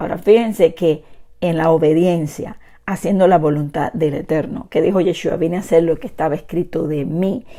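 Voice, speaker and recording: A woman speaks loudly with ordinary pitch variation. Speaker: bible teacher. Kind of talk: sermon. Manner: trying to speak louder.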